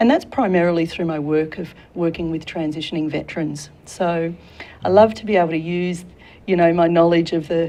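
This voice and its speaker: A woman with a slight Australian accent talks at a fairly quick pace. Her pitch is fairly low and her intonation fairly even. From Australia, Sydney. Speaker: career consultant and military veteran. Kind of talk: talk show interview. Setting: studio.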